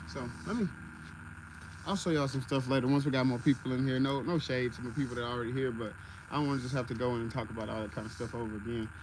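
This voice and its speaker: A man talks at a very fast pace and medium pitch, somewhat breathy, with ordinary pitch variation. Audible room echo surrounds his voice. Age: 20s. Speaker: content creator and DIY builder. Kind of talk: livestream tutorial and casual chat. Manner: casual, conversational.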